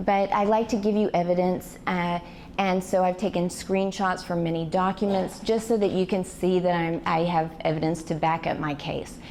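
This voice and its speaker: There is audible room echo as a woman speaks at a moderate pace. Her pitch is medium and her intonation fairly even. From Arkansas (Fort Smith). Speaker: public speaker, activist. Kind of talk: lecture-style presentation. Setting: stage with audience, PA system.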